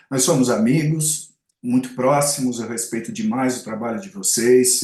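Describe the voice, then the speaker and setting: A man speaks at a medium pitch and a fairly slow pace. His voice moves through very wide pitch swings. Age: 60s. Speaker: advertising and marketing commentator. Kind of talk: podcast interview. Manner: halting, many self-corrections.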